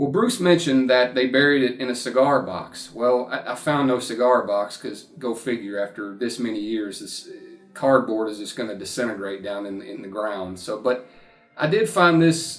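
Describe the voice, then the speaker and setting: A man with a Kentucky accent speaks at a moderate pace and medium pitch, with ordinary pitch variation. His loudness swings widely while music plays in the background. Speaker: YouTuber, horror film fan. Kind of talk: casual vlog talk to camera. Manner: casual, halting with repetitions.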